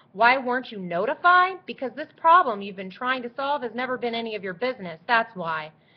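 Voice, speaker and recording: In a put-on character voice, a woman speaks fairly quickly with a shrill, high pitch and very wide pitch swings. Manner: angry, on the attack.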